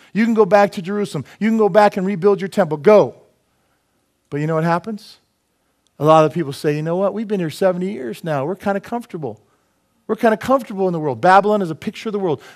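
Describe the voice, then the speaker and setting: A high-pitched man, very fast and animated, over a quiet background. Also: ordinary pitch variation. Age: 50s. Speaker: preacher. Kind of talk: sermon. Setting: church. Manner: humorous, self-deprecating asides. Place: church.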